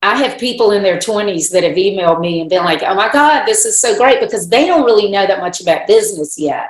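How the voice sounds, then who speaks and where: This woman talks at a very fast pace with hardly any pauses. Her medium-pitched voice has lively intonation. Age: 60s. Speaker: business consultant and author. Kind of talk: podcast interview.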